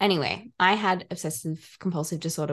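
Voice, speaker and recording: The pace here is moderate. The voice comes with an Australian accent. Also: woman, quiet background. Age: 20s. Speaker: mental health worker and student. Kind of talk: podcast interview.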